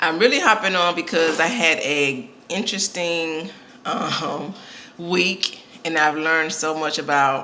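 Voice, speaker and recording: A woman's very deep, low voice at a fairly slow pace, with audible room echo and noticeable background noise. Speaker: vlogger and podcast host. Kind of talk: casual vlog. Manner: hesitant, many fillers.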